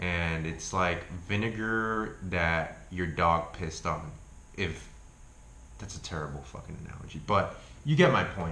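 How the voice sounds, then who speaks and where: In a room with audible echo, a man with a very deep, low pitch and a bright, sharp tone speaks at a fairly slow pace with ordinary pitch variation. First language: not English. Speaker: YouTuber reviewing health foods. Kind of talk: casual vlog review. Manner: casual, profane.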